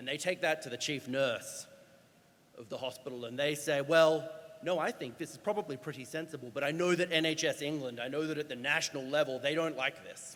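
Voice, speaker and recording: A fairly quick man with an Australian accent, his pitch fairly high and ordinarily varied. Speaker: doctor and healthcare climate speaker. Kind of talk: conference talk. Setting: stage with audience. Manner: animated.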